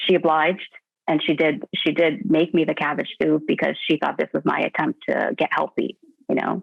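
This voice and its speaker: The speaker is a woman with a Canadian accent. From Canada. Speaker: weight-loss client. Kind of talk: interview. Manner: halting.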